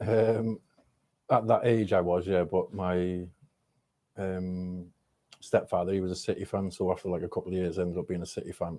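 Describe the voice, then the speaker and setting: This man's voice is very deep and low, with a dark, mellow tone and a Mancunian accent. His intonation is monotone and flat, broken by long, frequent pauses. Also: moderate pace. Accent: Manchester English. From Swansea, Wales (born in Manchester). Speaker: rapper. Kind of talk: casual podcast interview. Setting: studio. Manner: hesitant, many fillers.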